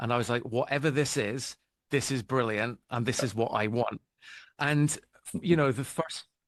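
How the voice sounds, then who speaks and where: A man with a British accent speaks at a moderate pace, stopping for long, frequent pauses. His voice is medium in pitch, with ordinary pitch variation. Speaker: album cover artist. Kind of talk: interview.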